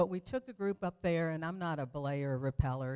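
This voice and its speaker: In a very clean recording with a silent background and a dry, close sound without echo, a woman with an American accent talks in an animated tone, her very deep, low pitch moving in lively intonation. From Detroit, Michigan. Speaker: evangelist and guest speaker. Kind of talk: sermon with personal testimony. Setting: church stage with congregation.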